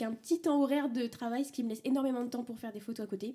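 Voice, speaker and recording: A woman with a high pitch and a dark, mellow tone talks with fairly even intonation. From Brittany, France. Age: 20s. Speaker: photographer. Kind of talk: interview. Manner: hesitant, many fillers.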